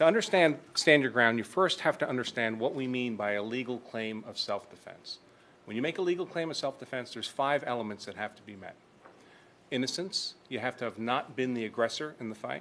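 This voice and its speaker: Lively intonation and big swings in loudness mark this fairly quick delivery. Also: man, medium pitch for a man. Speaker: self-defense law expert, debater. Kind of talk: formal debate opening statement. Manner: fast.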